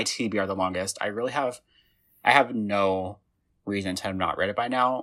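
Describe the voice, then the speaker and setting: Bright and sharp in tone, a man talks at a fairly quick pace with an American accent. The recording is very clean, with a silent background. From Indiana. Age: 20s. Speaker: podcast host. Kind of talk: casual chat.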